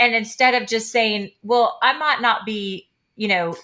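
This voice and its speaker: Here is a woman with an American accent and a fairly high pitch. Her tone is animated, bright and sharp. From Kansas and Oklahoma. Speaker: radio host, life coach. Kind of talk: radio interview; radio promo.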